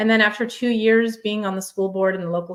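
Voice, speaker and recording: A woman is speaking. She has a Russian accent. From Ukraine, raised in US. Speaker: education executive and homeschool advocate. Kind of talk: podcast interview. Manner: conversational, with hesitations.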